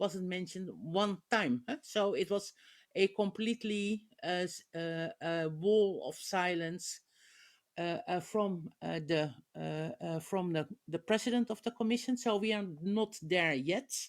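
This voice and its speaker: A woman with a Dutch accent, at a fairly slow pace, medium pitch and ordinary pitch variation, on a very clean recording with a silent background. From Netherlands. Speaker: politician. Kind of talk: panel discussion. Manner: halting, many filler sounds.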